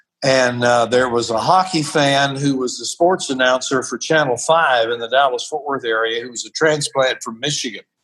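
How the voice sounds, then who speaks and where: An unremarkable speaking voice, a man with an American accent at a medium pitch, fairly even intonation and a moderate pace. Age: 60s. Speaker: wrestling announcer and minister. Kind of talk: interview conversation.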